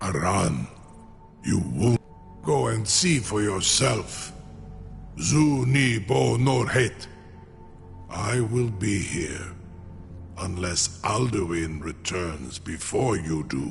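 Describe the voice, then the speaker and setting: A man's put-on character voice with a very deep, low pitch, a very slow pace, long, frequent pauses and clear music in the background. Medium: video game. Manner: slow, imperious, weighty.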